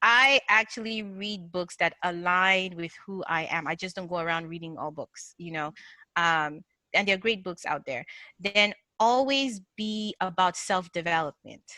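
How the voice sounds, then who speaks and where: In a Nigerian accent, a woman speaks at a moderate pace with a medium pitch, ordinary pitch variation, a bright, sharp tone and big swings in loudness. The sound is dry and close with no echo, in a very clean recording with a silent background. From northern Nigeria. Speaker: agile coach and mindset speaker. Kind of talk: podcast interview. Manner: animated.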